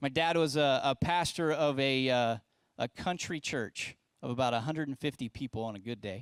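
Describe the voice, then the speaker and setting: This man has an unremarkable speaking voice with an American accent, medium pitch and fairly even intonation, recorded dry and close with no echo over a silent background in a very clean recording. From West Virginia, US. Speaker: pastor. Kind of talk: sermon to young adults. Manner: casual, conversational with filler words.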